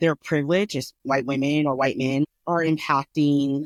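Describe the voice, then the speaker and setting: In a very clean recording with a silent background, a woman with an American accent speaks at a very deep, low pitch, the sound dry and close with no echo. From Colorado. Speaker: podcast co-host. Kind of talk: casual chat. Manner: careful enunciation.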